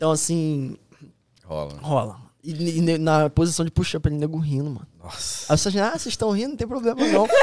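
Here a man with an ordinary speaking voice talks at a moderate pace, his pitch fairly high and his intonation lively. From Rio de Janeiro state, Brazil (Nova Iguaçu, Petrópolis). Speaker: US Army soldier. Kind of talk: casual interview chat.

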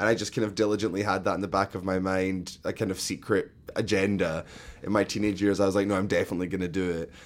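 A man speaks at a very fast pace with a Scottish accent. His fairly low pitch stays in monotone, flat intonation. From Scotland, Glasgow. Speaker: theatre-maker and arts educator. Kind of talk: interview.

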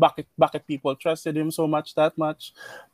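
In a very clean recording with a silent background, a man talks at a moderate pace in an unremarkable speaking voice. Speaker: marketing manager. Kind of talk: casual chat.

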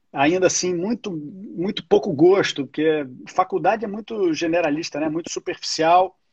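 A high-pitched man with a Carioca accent, moderate pace, hardly any pauses and ordinary pitch variation. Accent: carioca Brazilian Portuguese. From Rio de Janeiro, Brazil. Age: 40s. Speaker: entertainment business executive. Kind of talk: casual interview.

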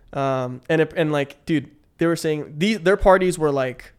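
In a Californian accent, the voice moves at a fairly slow pace with fairly even intonation. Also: man. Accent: Californian American English. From San Francisco Bay Area, with childhood in the Philippines. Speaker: guest telling life story. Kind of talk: casual interview chat.

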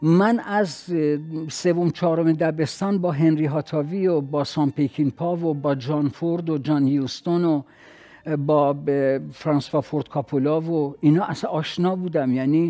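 A man speaks with a fairly high pitch and a dark, mellow tone. His pace is moderate and his intonation fairly even. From Iran, Khuzestan. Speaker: author and university lecturer. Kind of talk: interview.

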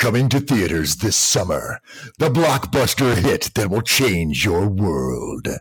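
A man's put-on character voice at medium pitch, with very wide pitch swings, very even loudness, and a fairly slow pace. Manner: dramatic.

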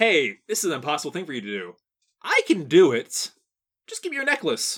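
Someone uses a put-on character voice at a middle pitch, moving at a fairly quick pace. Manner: casual, salesman-like, persuasive.

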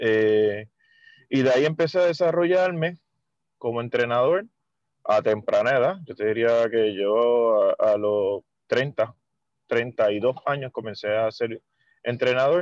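With long, frequent pauses and a very slow pace, a man talks at a medium pitch in lively intonation, his loudness very even and the sound dry and close with no echo. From Puerto Rico, Mayagüez. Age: 40s. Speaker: water polo coach. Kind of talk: casual interview.

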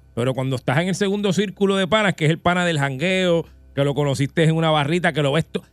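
Over background music, a man with a high pitch talks at a very fast pace, his pitch varying in an ordinary way. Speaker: radio host. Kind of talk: casual chat. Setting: studio.

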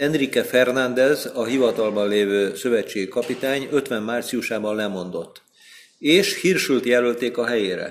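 Talking at a fairly slow pace, a man has a plain, everyday voice with ordinary pitch variation. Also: medium pitch for a man. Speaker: sports journalist. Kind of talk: casual chat. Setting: in person.

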